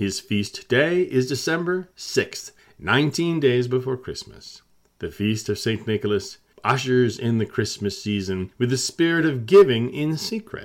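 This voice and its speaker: A man is speaking at a medium pitch. His pace is fairly slow. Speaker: radio host. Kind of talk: fairy-tale storytelling narration with character voices. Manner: animated, playful storyteller, sound effects and dramatic suspense.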